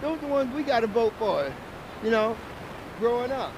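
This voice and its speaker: A man talks with ordinary variation in pitch, and noticeable noise sits in the background. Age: 60s. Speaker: passerby, retiring music industry worker. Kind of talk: street debate.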